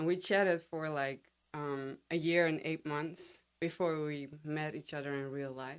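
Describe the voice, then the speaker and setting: Speaking fairly slowly in a Dutch accent, a woman uses a very deep, low pitch and fairly even intonation. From Netherlands. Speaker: podcast guest, writer and copy editor. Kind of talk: interview. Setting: studio.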